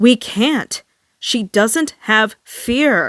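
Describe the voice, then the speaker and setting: Using a put-on character voice, a woman growls at a fairly high pitch. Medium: read story.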